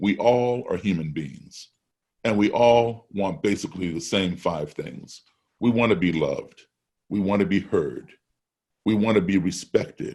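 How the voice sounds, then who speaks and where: At a moderate pace, a man in a normal speaking voice talks with a fairly low pitch and lively intonation. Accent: American. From US, raised abroad as Foreign Service child. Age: 60s. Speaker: jazz musician. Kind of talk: fireside chat interview. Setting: video call.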